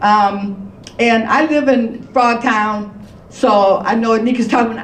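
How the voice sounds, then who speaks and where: A woman is speaking over noticeable background noise. The room gives her voice an audible echo. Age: 70s. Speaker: reparations panelist. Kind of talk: panel discussion.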